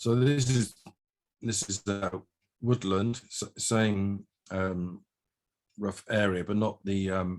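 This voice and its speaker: With an English accent, a man speaks very slowly in a fairly low, fairly even voice, pausing long and often. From England. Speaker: haiku poet. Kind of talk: presentation.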